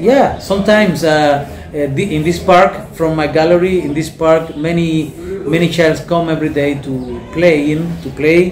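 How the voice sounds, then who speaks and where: Moderate pace and fairly even intonation in a Spanish accent, with audible room echo and music in the background. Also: man, fairly high pitch for a man. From Cuba, Cienfuegos province. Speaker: painter and fisherman. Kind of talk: interview. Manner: halting, hesitant.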